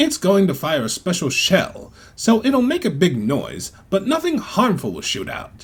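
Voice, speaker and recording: A man puts on a character voice. His pitch is high. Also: moderate pace, hardly any pauses. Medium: audio drama. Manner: matter-of-fact, dry.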